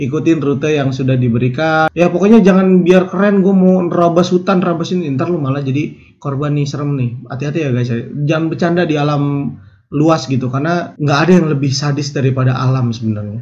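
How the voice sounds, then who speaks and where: A man with a Jakarta accent speaks at a very fast pace. His fairly high voice is somewhat breathy, with ordinary pitch variation. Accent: Betawi. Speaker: YouTube storyteller. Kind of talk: casual narration. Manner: casual.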